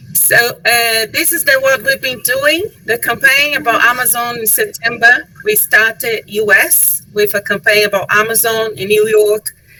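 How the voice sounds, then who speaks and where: At a very slow pace, a woman with a fairly high pitch talks with ordinary pitch variation over noticeable background noise. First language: Portuguese (speaking French). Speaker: tourism board representative. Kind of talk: webinar presentation. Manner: halting.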